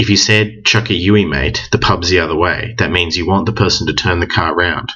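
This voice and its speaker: In an Australian accent, a man talks with a very deep, low pitch. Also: ordinary pitch variation, fairly quick pace. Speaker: language teacher. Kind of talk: tutorial.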